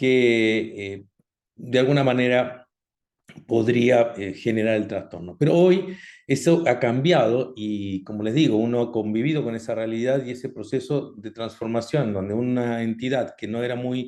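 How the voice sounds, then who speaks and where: Speaking fairly slowly, a man keeps a medium pitch and ordinary pitch variation. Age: 60s. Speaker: doctor, cardiologist. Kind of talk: online health talk. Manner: halting, many fillers.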